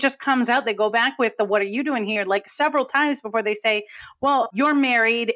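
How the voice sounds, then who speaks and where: A woman with a New England accent speaks at a fairly quick pace, with fairly high pitch and fairly even intonation. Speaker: film podcast co-host. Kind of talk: casual chat.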